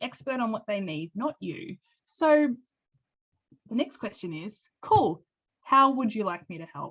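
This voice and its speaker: A woman speaks at a moderate pace in an Australian accent. Her pitch swings very widely, and the sound is dry and close with no echo. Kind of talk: webinar presentation. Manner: animated.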